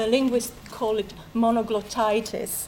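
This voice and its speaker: Amid noticeable background noise, a woman with an Italian accent speaks at a moderate pace in a fairly high pitch. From Italy. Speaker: Italian literature lecturer. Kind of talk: public debate talk. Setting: stage with audience. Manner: halting.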